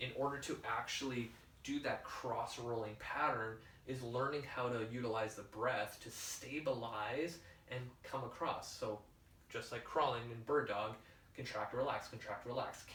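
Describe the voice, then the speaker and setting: A man speaks at medium pitch and a moderate pace. The room echo is audible, and there is noticeable background noise. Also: fairly even intonation. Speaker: fitness coach and podcast host. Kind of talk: solo podcast talk, instructional. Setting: whiteboard session with laptop. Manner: casual, filler-heavy.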